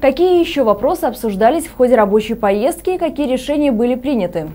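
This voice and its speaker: A woman talks at a fairly quick pace in a high pitch. Her pitch swings very widely. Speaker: news anchor. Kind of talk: news reading. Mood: calm formal. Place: studio. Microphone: lapel.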